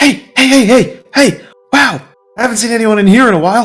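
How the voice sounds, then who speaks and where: Over faint music in the background, a man does a put-on character voice at an extremely high pitch and a fairly quick pace. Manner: calling out, repeating hey.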